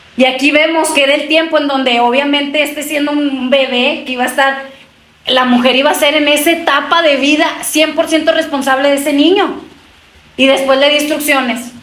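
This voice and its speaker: Talking at a fairly quick pace in a high pitch, a woman keeps a monotone, flat intonation and very even loudness, with audible room echo and noticeable background noise. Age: 30s. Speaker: preacher. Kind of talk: sermon.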